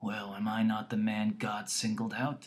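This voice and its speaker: A man puts on a raspy character voice, fairly low in pitch with fairly even intonation. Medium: read story. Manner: self-pitying, grasping.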